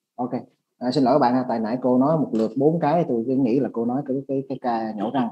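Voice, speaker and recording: At a very fast pace, a man speaks with a medium pitch. His intonation stays fairly even. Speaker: interpreter for orthodontics webinar. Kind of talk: consecutive interpretation. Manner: halting, many fillers.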